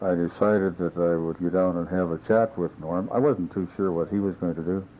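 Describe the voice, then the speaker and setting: Speaking with a Canadian Prairie accent, a man has a very deep, low pitch and a dark, mellow tone. His pace is moderate. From Saskatchewan, Canada. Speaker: former mayor. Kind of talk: oral history interview answer.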